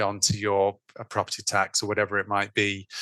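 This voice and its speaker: A man with an English accent speaks at a moderate pace, his pitch fairly low and his tone bright and sharp. The sound is dry and close with no echo, over a quiet background. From England. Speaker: food systems consultant. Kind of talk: podcast interview. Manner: halting, many fillers and restarts.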